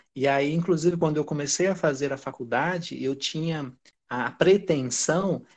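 With a southern Brazilian accent, a man speaks at a fairly high pitch with ordinary pitch variation against a quiet background. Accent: southern Brazilian, dragged R. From Brazil, raised by southerners (born in Pará). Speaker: lawyer and teacher. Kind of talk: interview. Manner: halting, many fillers.

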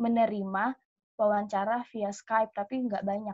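At a moderate pace, a woman talks in a somewhat breathy, fairly high voice with fairly even intonation. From Indonesia. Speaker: au pair. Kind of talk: casual interview.

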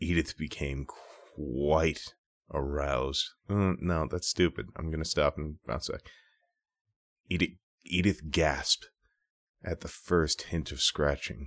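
A man with a very deep, low pitch, vocal fry and an American accent, very slow pace, long, frequent pauses, ordinary pitch variation, and a dry, close sound with no echo. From Minnesota. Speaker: podcast co-host. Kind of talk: improvised storytelling.

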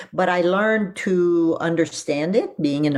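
With a French accent, a woman speaks using ordinary pitch variation. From Quebec (Quebec City, Montreal), raised in Ottawa. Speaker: seminary professor of Old Testament. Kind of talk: interview, personal testimony.

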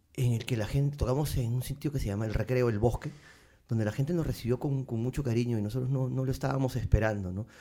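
Somewhat breathy and dark, mellow in tone, the voice races at a very fast pace with fairly even intonation. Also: man, medium pitch for a man. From Peru, Lima. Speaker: musician. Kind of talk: casual chat.

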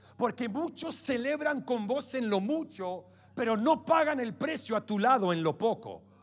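At a fairly slow pace, a man speaks in an extremely high pitch with lively intonation and an animated tone. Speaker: preacher. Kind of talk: sermon. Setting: church. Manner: animated, fervent preaching, rallying the congregation.

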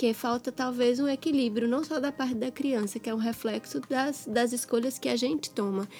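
Speaking at a moderate pace with hardly any pauses, a woman uses a high pitch and fairly even intonation. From Minas Gerais, Brazil. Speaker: pediatrician and podcast co-host. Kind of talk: casual chat.

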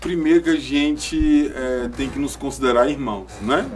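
A man speaks at a fairly slow pace. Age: 30s. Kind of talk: podcast interview.

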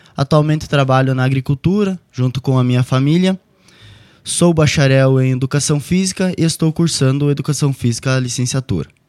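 A man with an ordinary speaking voice talks at a moderate pace, fairly high in pitch with ordinary pitch variation. His loudness is very even, and the sound is dry and close with no echo. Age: 20s. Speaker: political candidate. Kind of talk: radio interview, prepared campaign statement.

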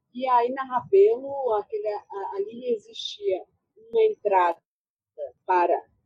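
A woman's high voice with very wide pitch swings, dry and close with no echo, over music in the background. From Brasília, Vila Planalto. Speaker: author and researcher. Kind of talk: interview.

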